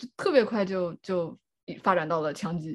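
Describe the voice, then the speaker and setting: An unremarkable speaking voice from a woman, medium in pitch with lively intonation. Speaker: clinical psychology doctoral candidate. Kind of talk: casual chat.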